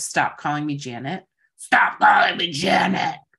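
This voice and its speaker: A gravelly, put-on character voice at a middle pitch and a moderate pace. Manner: scary, insistent.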